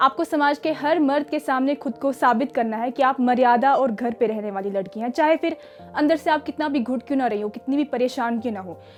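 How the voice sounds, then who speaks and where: With music in the background, a woman speaks at a moderate pace and high pitch, with ordinary pitch variation and hardly any pauses. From Kashmir. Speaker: actress. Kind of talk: motivational talk.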